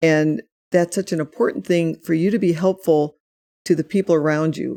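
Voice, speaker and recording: The voice has a dark, mellow tone with vocal fry. It is recorded with a dry, close sound, no echo and a very clean, silent background. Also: woman. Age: 60s. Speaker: author and grief speaker. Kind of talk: podcast interview. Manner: halting, many repeated words.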